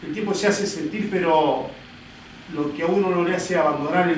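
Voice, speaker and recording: A man speaks in a high voice at a moderate pace, his pitch varying in an ordinary way. Noticeable background noise and audible room echo surround him. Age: 60s. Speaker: politician. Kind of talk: political speech. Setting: party committee meeting with audience. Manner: hesitant filler 'este'.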